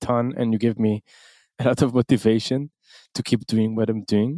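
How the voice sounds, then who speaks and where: A man with an Israeli accent speaks at a moderate pace in a fairly low voice, his tone dark and mellow, his intonation fairly even, and the sound dry and close with no echo. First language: Hebrew. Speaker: podcast host. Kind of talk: casual interview. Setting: remote call.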